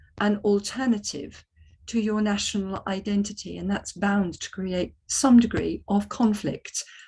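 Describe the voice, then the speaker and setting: A woman with a British accent speaks at a fairly slow pace in a medium pitch, somewhat breathy, with fairly even intonation over a quiet background. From Britain. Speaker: economics panel speaker. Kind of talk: panel talk. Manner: hesitant, many ums.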